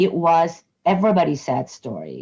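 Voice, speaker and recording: This woman's voice is dark and mellow in tone, with vocal fry and lively intonation. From immigrant, moved to US at age nine. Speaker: nonprofit community advocate leader. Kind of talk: interview.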